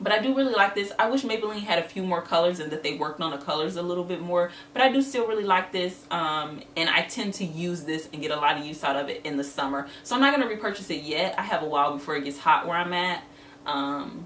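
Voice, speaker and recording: A woman speaks at a very fast pace with lively intonation, amid noticeable background noise and audible room echo. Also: fairly low pitch for a woman. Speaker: beauty vlogger. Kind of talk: casual product review.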